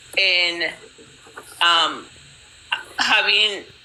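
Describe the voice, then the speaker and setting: A woman speaks at a medium pitch in a room with audible echo and noticeable background noise. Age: 50s. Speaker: community member sharing her story. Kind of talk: testimony. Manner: halting, repeats words.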